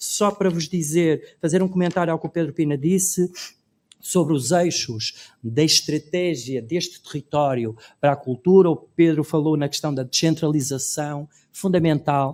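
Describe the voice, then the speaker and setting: Pitched fairly high, a man's voice rises and falls with ordinary variation. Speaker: cultural policy expert on a panel. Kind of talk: conference panel talk. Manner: fast.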